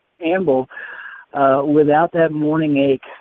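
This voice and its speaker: A man's fairly high voice in a monotone, flat intonation. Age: 60s. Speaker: testimonial caller, hand cyclist with polio. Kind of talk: testimony. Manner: halting.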